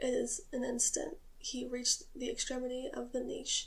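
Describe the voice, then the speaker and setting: A soft-spoken woman with a nervous tone, amid noticeable background noise. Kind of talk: soft-spoken ASMR reading of a classic story. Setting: camera-facing ASMR recording at home. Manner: soft-spoken, slightly nervous.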